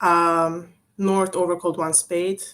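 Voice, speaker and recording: A woman's fairly low, flat, monotone voice at a very slow pace. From Serbia. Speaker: bridge coach. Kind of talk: online lecture. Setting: video call. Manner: hesitant, many fillers.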